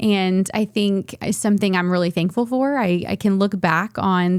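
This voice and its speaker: The speaker uses an American accent and keeps a moderate pace. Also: woman. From US South, southeastern Virginia. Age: 30s. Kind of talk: testimony. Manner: halting, many fillers.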